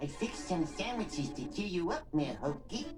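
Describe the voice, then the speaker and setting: Amid loud background noise, a cartoonish character voice at a middle pitch moves at a moderate pace. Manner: meek, polite.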